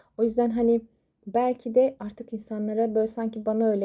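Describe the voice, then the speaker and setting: At a fairly quick speed, a woman delivers her lines. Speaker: coffee cup fortune teller. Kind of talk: astrology fortune reading monologue. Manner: fast; animated.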